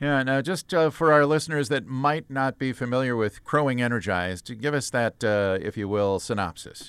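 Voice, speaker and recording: A man with an ordinary speaking voice keeps a moderate pace with hardly any pauses. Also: medium pitch for a man. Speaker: radio host. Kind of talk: radio interview.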